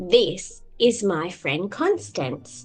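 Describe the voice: A woman's put-on character voice, fairly low in pitch with big pitch swings, at a very slow pace over faint background music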